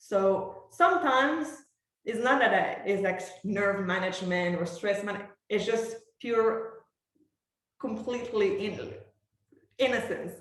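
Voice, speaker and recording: Speaking in a Quebec accent, a woman with a fairly high pitch uses lively intonation and long, frequent pauses, with audible room echo around her. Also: fairly slow pace. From Quebec, Montreal. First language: French. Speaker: professional orchestral bassoonist. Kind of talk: master class, talking about her career.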